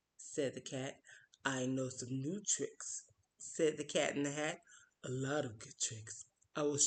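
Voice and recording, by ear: Against a quiet background, the speaker is reading aloud in a natural voice with fairly even intonation.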